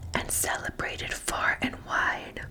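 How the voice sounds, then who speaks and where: A woman whispering very slowly, with noticeable background noise. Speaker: ASMR creator reading the Bible. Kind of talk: slow whispered scripture reading. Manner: whispered, soft-spoken.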